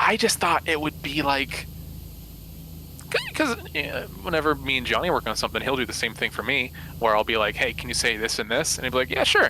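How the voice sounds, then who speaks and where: A man talks fairly quickly, and noticeable background noise is present. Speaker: voice actor / streamer. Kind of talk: casual chat. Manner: halting, many fillers and restarts.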